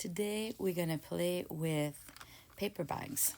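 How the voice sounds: A woman with a fairly low pitch, vocal fry and a slightly mellow tone speaks at a slow pace with ordinary pitch variation.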